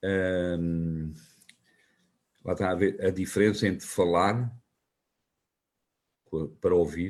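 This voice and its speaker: Very slowly, a man with a very deep, low voice talks in a fairly even intonation. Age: 60s. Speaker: local politician and teacher. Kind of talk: interview. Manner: halting, with fillers and restarts.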